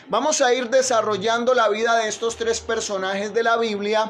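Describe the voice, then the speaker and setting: Over noticeable background noise and audible room echo, a man with a high pitch and ordinary pitch variation speaks at a moderate pace. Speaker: pastor. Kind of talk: sermon. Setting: livestream.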